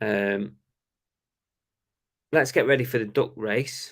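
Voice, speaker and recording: A man is talking. He has a British accent. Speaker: reseller and live-stream host. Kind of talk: casual live-stream chat. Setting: live stream, alone tonight. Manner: halting, many fillers.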